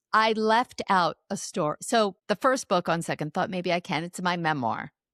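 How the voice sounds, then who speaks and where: With an unremarkable speaking voice at a medium pitch, a woman talks at a moderate pace with lively intonation, the sound dry and close with no echo in a very clean recording with a silent background. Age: 60s. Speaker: author and speaker. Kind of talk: interview.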